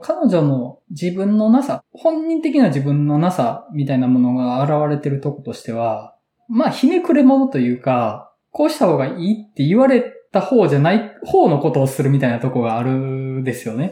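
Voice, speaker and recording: A man with a Kansai accent speaks at a moderate pace. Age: 30s. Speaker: podcast host and moderator. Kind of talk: casual chat.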